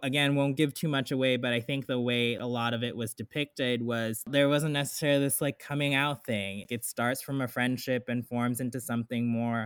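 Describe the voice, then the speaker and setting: With an American accent, a man of medium pitch speaks at a moderate pace in an unremarkable speaking voice. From South Florida. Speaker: ballet dancer and book club leader. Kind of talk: casual interview.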